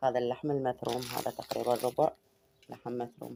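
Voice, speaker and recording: Her voice sits very deep and low, with a dark, mellow tone and some vocal fry. The woman speaks at a moderate pace. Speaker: home cooking vlogger. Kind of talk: cooking tutorial. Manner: casual.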